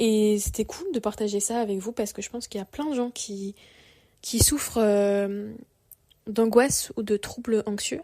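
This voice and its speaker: A woman talks at a moderate pace in a fairly high pitch, her dark, mellow tone carried by fairly even intonation. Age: 20s. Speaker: podcaster. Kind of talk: personal monologue podcast. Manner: casual, hesitant with fillers.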